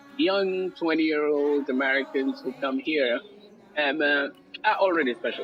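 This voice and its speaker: A man with a fairly high voice and ordinary pitch variation talks at a moderate pace as noticeable background noise runs behind him. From Senegal. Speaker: academic speaker on colonialism. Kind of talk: interview. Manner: halting, many fillers.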